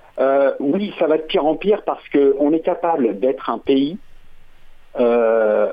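A man with a fairly high pitch talks fairly slowly, his intonation lively. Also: long, frequent pauses, very even loudness. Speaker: caller, former conscript. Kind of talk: radio phone-in.

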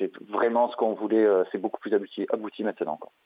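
The speaker is a man with a medium pitch. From southern France, Marseille area. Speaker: metal band vocalist. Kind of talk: interview. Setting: phone call. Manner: halting, many repetitions.

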